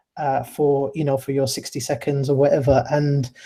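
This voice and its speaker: A man's somewhat breathy voice carries a dark, mellow tone at a fairly high pitch. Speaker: innovator educator. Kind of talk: webinar sharing experience. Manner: stutters.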